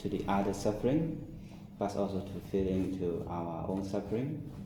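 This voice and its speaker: A man talks with a fairly low pitch and lively intonation. Room echo is audible, and background noise is noticeable. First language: not English. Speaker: Buddhist monk. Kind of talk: dharma talk. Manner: slow; halting.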